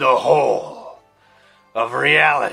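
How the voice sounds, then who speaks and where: A man performs a put-on character voice. Faint music plays behind him. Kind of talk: spiritual book reading.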